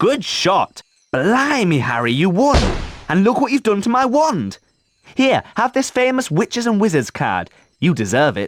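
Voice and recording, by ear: A man puts on a character voice, pitched high and swinging very widely, at a fairly slow pace.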